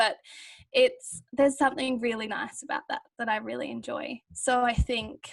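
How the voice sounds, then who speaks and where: A woman speaks with an Australian accent. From rural Australia, Victorian border area. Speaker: university student. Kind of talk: casual chat.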